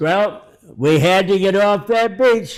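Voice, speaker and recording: At a very slow pace, a man with an American accent speaks in a high pitch with ordinary pitch variation, on a very clean recording with a silent background. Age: 80s+. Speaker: war veteran. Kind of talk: guest speaker talk.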